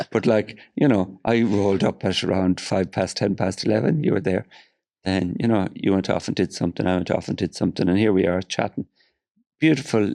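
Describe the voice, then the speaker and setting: Speaking at a fairly quick pace, a man uses ordinary pitch variation with an Irish accent. His loudness stays very even, and the sound is dry and close with no echo. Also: fairly low pitch for a man. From Ireland. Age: 60s. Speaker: film producer. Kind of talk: casual chat. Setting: studio.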